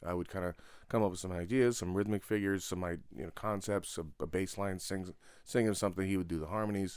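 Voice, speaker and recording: On a very clean recording with a silent background, a man with a Californian accent and a very deep, low pitch talks at a very fast pace with fairly even intonation. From Santa Barbara, California. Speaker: jazz drummer. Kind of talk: interview.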